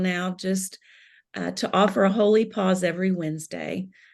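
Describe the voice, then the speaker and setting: Against a quiet background, a woman with a Southern US accent speaks at a moderate pace, her medium pitch showing ordinary variation. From US South, Kentucky. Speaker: spiritual director. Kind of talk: interview.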